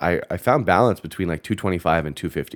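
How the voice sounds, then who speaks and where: With a Canadian accent, a man speaks at a fairly quick pace and ordinary pitch variation. The recording is very clean, with a silent background. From Canada. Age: 20s. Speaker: fitness influencer. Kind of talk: casual interview chat.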